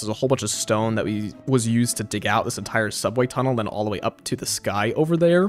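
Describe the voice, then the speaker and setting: A man speaks at a very fast pace with an American accent. Music plays in the background. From northeastern US. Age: 20s. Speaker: gaming streamer. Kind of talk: live gameplay stream chat. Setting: live stream. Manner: casual, filler-heavy.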